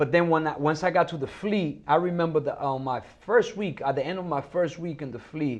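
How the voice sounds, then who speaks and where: With a Dominican accent, a man talks at a fairly quick pace with ordinary pitch variation. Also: fairly high pitch for a man. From Dominican Republic, raised partly in New York. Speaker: Marine veteran and actor. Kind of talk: casual interview chat.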